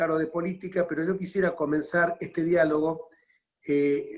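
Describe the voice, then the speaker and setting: Moving at a moderate pace, a man speaks at a high pitch. His intonation stays monotone and flat. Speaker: politician hosting talk series. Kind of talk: interview introduction. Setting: video call.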